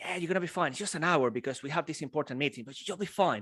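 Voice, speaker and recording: A man talks at a very fast pace with an energetic, playful tone and very wide pitch swings. The recording is very clean, with a silent background. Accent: Venezuelan. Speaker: public speaker. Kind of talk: live keynote talk to audience.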